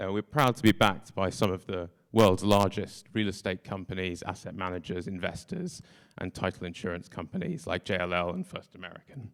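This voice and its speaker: With a British accent and a very deep, low pitch, a man speaks at a fairly quick pace with big swings in loudness. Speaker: tech startup co-founder. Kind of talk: conference talk.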